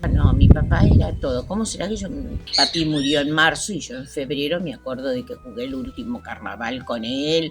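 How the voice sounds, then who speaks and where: Over music in the background, a woman with a very deep, low voice speaks at a moderate pace, her pitch swinging very widely and her loudness shifting a great deal. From Argentina, Santa Fe province (Santo Tomé). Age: 80s+. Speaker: community elder. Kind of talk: life story interview.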